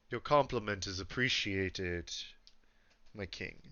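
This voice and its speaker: Put-on character voice from a man, fairly low in pitch, with ordinary pitch variation at a moderate pace. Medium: actual play. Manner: polite, respectful.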